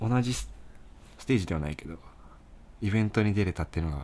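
In a very clean recording with a silent background, a man speaks at a very deep, low pitch with a dark, mellow tone. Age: 20s. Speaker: band bassist, podcast co-host. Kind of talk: casual chat.

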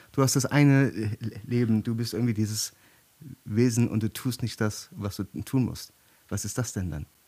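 This man has a dark, mellow tone and talks at a moderate pace. He leaves long pauses, and he leaves them often. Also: medium pitch for a man, ordinary pitch variation. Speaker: author. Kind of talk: casual chat.

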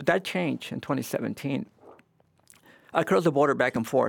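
With vocal fry and lively intonation, a man talks at a very fast pace. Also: very clean recording, silent background. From Mexico, raised in Houston from teens. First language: Spanish. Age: 50s. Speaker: pastor. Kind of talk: interview.

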